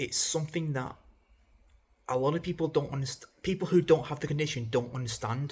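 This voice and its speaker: A man races along at a very fast pace in a fairly high, somewhat breathy voice with fairly even intonation. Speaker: mental health vlogger. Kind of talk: casual unedited vlog talk. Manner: halting, with stammers and self-corrections; informal, conversational.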